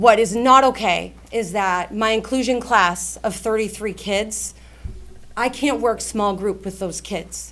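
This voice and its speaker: Her medium-pitched voice carries vocal fry as the woman speaks at a fairly slow pace with fairly even intonation. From Lynn, Massachusetts, US. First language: Portuguese. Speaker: high school teacher. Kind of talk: public comment at a school board meeting. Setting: public meeting with audience. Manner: impassioned.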